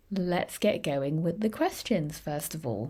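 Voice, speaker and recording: A woman's dark, mellow voice with a British accent and very wide pitch swings, on a very clean recording with a silent background. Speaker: English teacher. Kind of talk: tutorial.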